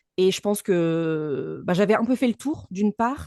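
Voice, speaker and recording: A woman's dark, mellow tone comes through dry and close with no echo against a quiet background. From France, Lyon region. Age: 30s. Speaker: voice actress and speaking coach. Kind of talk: podcast interview.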